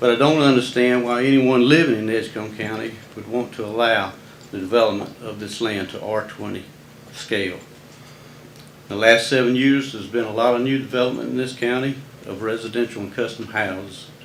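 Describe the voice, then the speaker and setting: Audible room echo colors a man's medium-pitched voice, with fairly even intonation. He moves at a fairly quick pace, and his loudness swings widely. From US South. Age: 70s. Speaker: resident speaking at public comment. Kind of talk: public comment statement. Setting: county board meeting. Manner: formal.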